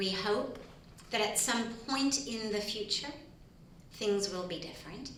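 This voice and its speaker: Noticeable background noise runs under a voice with an American accent. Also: woman. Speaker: spiritual leader and author. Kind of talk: conference talk / testimony to an audience.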